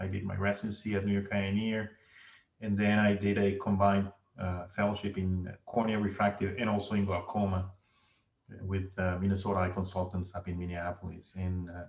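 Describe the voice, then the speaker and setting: A man with a Venezuelan accent speaks fairly quickly in a fairly low, somewhat breathy voice. His intonation stays monotone and flat. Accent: Venezuelan Spanish accent, noticeable. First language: Spanish. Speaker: ophthalmologist. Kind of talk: interview. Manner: halting.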